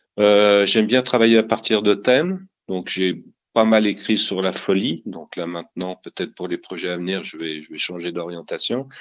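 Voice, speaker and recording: Loudness swings widely as a man with a fairly low pitch talks at a moderate pace, his pitch varying in an ordinary way. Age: 60s. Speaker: crime novelist. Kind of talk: interview. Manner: halting.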